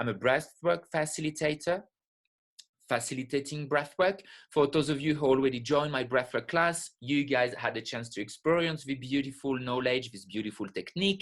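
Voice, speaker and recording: With a French accent, a man speaks at a fairly high pitch with ordinary pitch variation. The background is quiet. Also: moderate pace. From France, French Alps. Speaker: spiritual teacher and breathwork facilitator. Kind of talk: webinar lecture. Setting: live online webinar.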